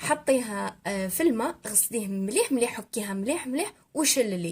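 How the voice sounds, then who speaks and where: A woman with an Algerian accent, fairly high pitch and lively intonation at a moderate pace. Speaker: cooking youtuber. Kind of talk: cooking tutorial voiceover. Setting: recorded voiceover. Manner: halting with fillers.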